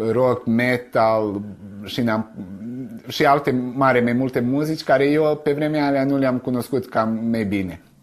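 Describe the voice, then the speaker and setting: This man's pitch is medium. He talks at a fairly slow pace. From Vojvodina, Serbia (Romanian village Sân-Mihai). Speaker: poet. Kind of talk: interview testimony. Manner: halting, repeats words.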